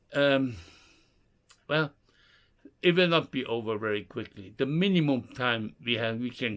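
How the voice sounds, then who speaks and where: Over a very clean recording with a silent background, a man's medium-pitched voice moves with lively intonation. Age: 60s. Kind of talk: casual talk to camera.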